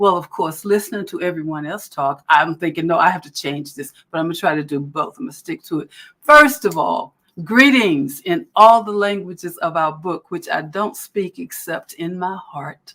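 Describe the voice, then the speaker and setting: A woman with an American accent speaks at a moderate pace in a bright, sharp tone and a fairly low pitch. Her intonation is lively, and her loudness swings widely. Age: 70s. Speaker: performance poet. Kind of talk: speech at a book launch.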